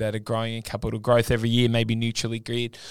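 This very clean recording with a silent background carries a voice in an Australian accent. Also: man. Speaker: podcast host. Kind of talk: casual interview chat.

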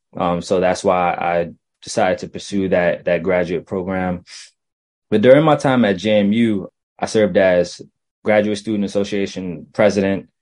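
A man speaks in a normal speaking voice with a fairly low pitch. His pitch variation is ordinary. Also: moderate pace. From Virginia (Chesapeake / Virginia Beach), born in Brooklyn. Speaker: student affairs professional. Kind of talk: interview.

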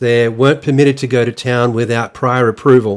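A man with an Australian accent and a medium pitch talks at a fairly quick pace. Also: very clean recording, silent background. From Australia, rural New South Wales. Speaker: podcast host. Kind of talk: personal monologue.

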